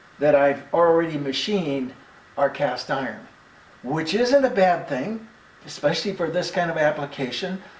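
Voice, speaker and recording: Heard with audible room echo, a man talks at a moderate pace with ordinary pitch variation. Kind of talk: casual workshop vlog explanation. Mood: relaxed, good-humored. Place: workshop. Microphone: camera far.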